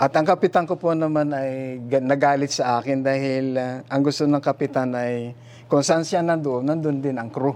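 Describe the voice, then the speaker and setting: With a normal speaking voice, a man talks at a moderate pace in a fairly high pitch and fairly even intonation. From Philippines, Infanta, Quezon. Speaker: retired ship captain. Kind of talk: testimony.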